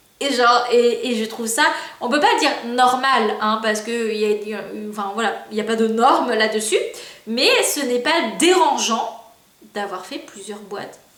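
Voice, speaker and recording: A woman speaks at a fairly slow pace with fairly high pitch and ordinary pitch variation. Audible room echo and noticeable background noise surround her. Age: 20s. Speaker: youtuber. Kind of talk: casual vlog monologue. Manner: hesitant, many fillers.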